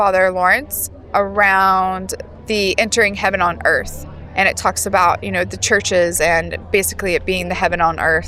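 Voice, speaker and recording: Music sits in the background as a woman with an American accent speaks at a moderate pace. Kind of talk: casual interview. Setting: at a festival.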